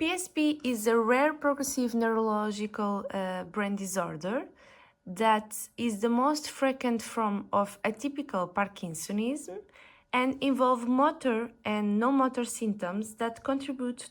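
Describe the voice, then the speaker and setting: In a Portuguese accent, a woman speaks fairly slowly at a fairly high pitch with ordinary pitch variation, on a very clean recording with a silent background. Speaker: physiotherapist. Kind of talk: conference presentation. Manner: halting, with self-corrections; formal.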